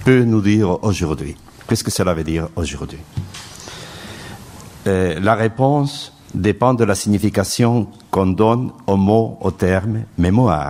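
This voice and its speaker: A man speaks very slowly with a non-native accent. His pitch is fairly low, and noticeable background noise can be heard. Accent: foreign accent in French. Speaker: round-table speaker, philosopher. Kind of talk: conference talk.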